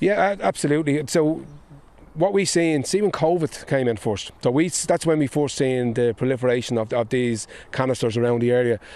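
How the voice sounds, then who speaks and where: In a Dublin accent, a man at medium pitch talks at a fairly quick pace with lively intonation and very even loudness. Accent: Dublin Irish. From Ireland, Dublin (Clondalkin). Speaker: politician, former addiction counsellor. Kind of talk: on-location interview. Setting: outdoors. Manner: halting, repetitive.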